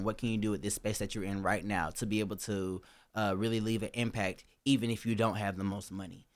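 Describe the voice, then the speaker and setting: A man at a fairly low pitch and a very fast pace, on a very clean recording with a silent background. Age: 20s. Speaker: recent college graduate. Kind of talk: casual chat. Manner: animated.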